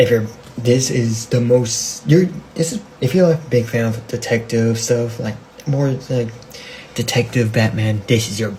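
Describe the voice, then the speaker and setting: This man's medium-pitched voice moves at a moderate pace with noticeable background noise present. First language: not English. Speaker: amateur comic book YouTuber. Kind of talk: casual vlog talk. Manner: halting, many restarts and fillers.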